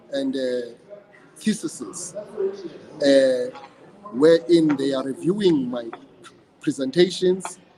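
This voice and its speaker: Noticeable background noise accompanies a man's voice. He talks very slowly at a high pitch with lively intonation. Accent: South African. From South Africa, Eastern Cape (Idutywa). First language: isiXhosa. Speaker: praise poet. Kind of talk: interview. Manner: hesitant, with repeated words and fillers.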